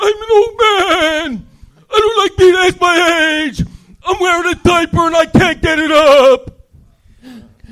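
The speaker uses a put-on character voice. The delivery is rather slow. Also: man, extremely high pitch for a man. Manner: grumpy.

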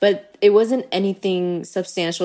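A woman with an unremarkable speaking voice talks at a moderate tempo, her pitch moving in an ordinary way, on a very clean recording with a silent background. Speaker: chef and content creator. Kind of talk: podcast interview.

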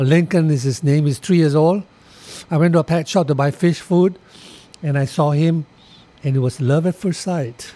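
His voice dark and mellow yet fairly high, a man speaks with ordinary pitch variation and long, frequent pauses. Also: moderate pace. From Singapore. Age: 70s. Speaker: condo board president, real estate agent. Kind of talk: interview conversation.

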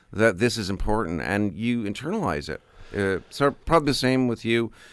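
A man with a Canadian accent uses a normal speaking voice at medium pitch with ordinary pitch variation, in a very clean recording with a silent background. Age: 60s. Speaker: newspaper columnist. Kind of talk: casual chat. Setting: radio studio.

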